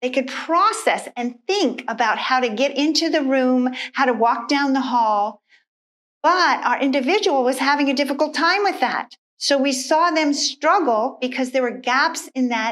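A woman with a high pitch, ordinary pitch variation and a moderate pace, over a quiet background. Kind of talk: instructional talk to camera. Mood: warm, earnest. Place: studio.

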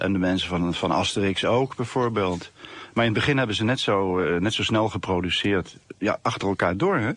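An unremarkable speaking voice with ordinary pitch variation, very even loudness, a fairly quick pace and a dry sound with no echo. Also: man, fairly low pitch for a man. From Netherlands, The Hague; Netherlands. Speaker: comic artist. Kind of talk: radio interview.

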